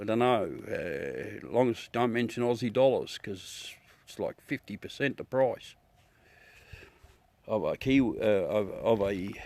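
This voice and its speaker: A man speaks very slowly with a strong Australian accent. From South Australia. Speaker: amateur astronomy livestreamer. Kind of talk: casual live stream chat. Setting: outdoors at night with telescope. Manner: chatty, relaxed.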